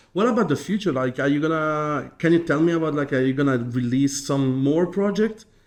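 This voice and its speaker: A man with an Italian accent talks at a fairly quick pace and fairly high pitch, his loudness very even and his pitch varying in an ordinary way against a quiet background. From Italy. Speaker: real estate agent and interviewer. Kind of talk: interview conversation. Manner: halting, searching for words.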